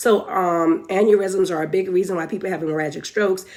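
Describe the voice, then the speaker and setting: This woman has a medium pitch. Her pitch variation is ordinary. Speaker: nurse educator. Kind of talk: live teaching stream. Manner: fast.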